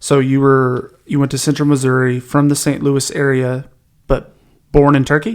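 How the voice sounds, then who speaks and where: A man in an ordinary speaking voice talks at a moderate pace with a fairly high pitch. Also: fairly even intonation. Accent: American. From Oklahoma, Tahlequah. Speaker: podcast host. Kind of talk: casual interview.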